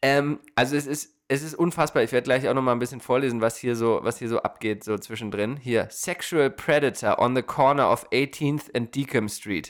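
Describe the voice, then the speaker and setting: A man with a plain, everyday voice talks at a moderate pace and medium pitch, with ordinary pitch variation and hardly any pauses. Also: very clean recording, silent background. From Germany. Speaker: podcast host. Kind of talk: casual chat. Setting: studio.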